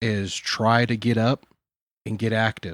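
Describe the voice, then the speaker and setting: Recorded very cleanly against a silent background, a man speaks at a medium pitch in a dry, close sound with no echo. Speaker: podcast co-host. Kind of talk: casual chat. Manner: subdued tone.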